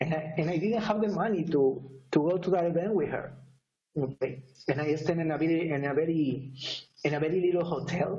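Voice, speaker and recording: Against audible room echo, a man with a strong Spanish accent talks at a fairly quick pace in a fairly high pitch with ordinary pitch variation. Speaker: network marketer. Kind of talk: testimony. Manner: halting.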